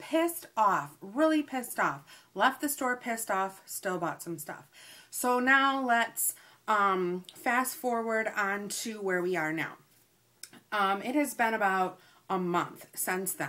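A woman's tone is bright and sharp, with lively intonation. She speaks at a very slow pace. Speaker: haul vlogger. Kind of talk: casual vlog chat. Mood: annoyed, storytelling. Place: home room. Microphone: webcam.

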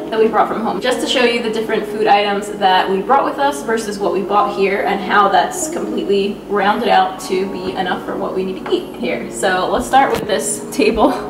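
The speech moves at a fairly quick pace with hardly any pauses, over noticeable background noise. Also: woman. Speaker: vlogger. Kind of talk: casual vlog chat. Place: kitchen. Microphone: phone near.

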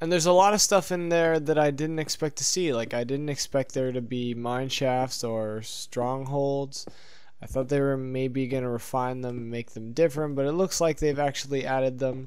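A man with a plain, everyday voice: medium pitch, ordinary pitch movement, moderate speed. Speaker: gaming YouTuber. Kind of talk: casual let's play commentary. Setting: home recording, gameplay voiceover. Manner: casual, filler-heavy, profane.

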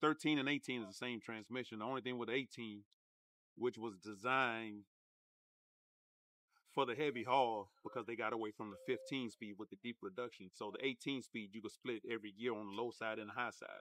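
A man talks at a fairly quick pace in a bright, sharp tone with fairly even intonation. The sound is dry with no echo, over a quiet background. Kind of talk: interview answer. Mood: relaxed, calm. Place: street.

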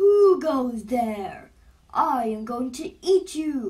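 A put-on character voice is shouting. It moves at a very slow pace. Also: woman. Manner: threatening, shouting.

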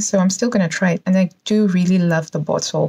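Over a quiet background, a woman talks at a fairly quick pace with ordinary pitch variation. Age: 40s. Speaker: YouTuber, perfume reviewer. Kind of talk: product unboxing and review. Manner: animated. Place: home room. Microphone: phone near.

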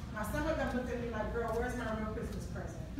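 A woman speaks with audible room echo. Loud background noise fills the recording. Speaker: guest. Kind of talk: personal story at a community event. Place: hall.

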